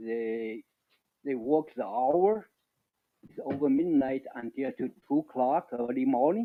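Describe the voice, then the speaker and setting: A man speaks at a medium pitch with a non-native accent, his pitch varying in an ordinary way. His pace is fairly slow, with long, frequent pauses. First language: not English. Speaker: resident making public comment. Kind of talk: public comment. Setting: council meeting. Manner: halting.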